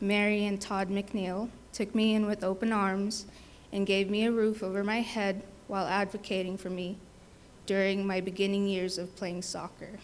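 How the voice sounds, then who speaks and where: At a moderate pace, a woman speaks with a medium pitch and monotone, flat intonation. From Fiji. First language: not English. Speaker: scholarship recipient, nursing assistant. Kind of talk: prepared speech.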